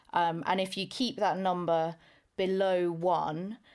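With a British accent, a woman talks at a fairly slow pace and a fairly low pitch with fairly even intonation, in a very clean recording with a silent background. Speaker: school chemistry teacher. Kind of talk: casual podcast chat.

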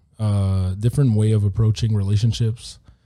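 A man's somewhat breathy, fairly low voice with a dark, mellow tone. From Switzerland. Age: 30s. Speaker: former American football player. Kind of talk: casual chat.

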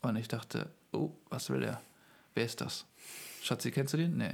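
A man's medium-pitched voice with vocal fry. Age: 30s. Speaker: pastor and church planter. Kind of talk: interview.

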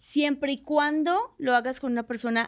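In a Colombian accent, a woman speaks at a fairly slow pace. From Colombia, Barranquilla. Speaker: actress. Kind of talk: casual chat.

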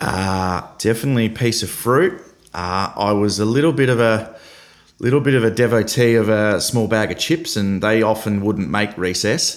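In an Australian accent, a man speaks at a moderate pace with a medium pitch and ordinary pitch variation. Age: 30s. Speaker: football club CEO. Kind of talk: casual interview. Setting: remote call from office. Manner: halting, many fillers and repeats.

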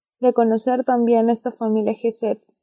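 A woman's voice with a fairly high pitch. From Peru. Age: young. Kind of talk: religious podcast chat with personal testimony.

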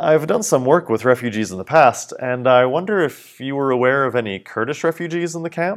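A man with an unremarkable speaking voice, fairly high in pitch, speaks fairly quickly with hardly any pauses. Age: 40s. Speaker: English teacher. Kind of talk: reading aloud of a personal essay.

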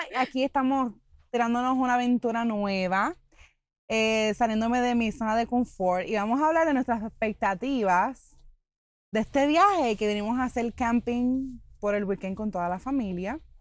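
On a very clean recording with a silent background, a woman with a normal speaking voice talks at a fairly high pitch and moderate pace with ordinary pitch variation. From Puerto Rico. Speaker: podcast host. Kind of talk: casual chat. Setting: outdoors at a campsite.

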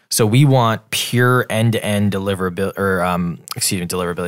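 The recording is very clean, with a silent background. A man with a fairly low pitch speaks in an ordinary speaking voice. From US Midwest (Wisconsin). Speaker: startup founder and CEO. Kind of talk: interview. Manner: fast with many fillers.

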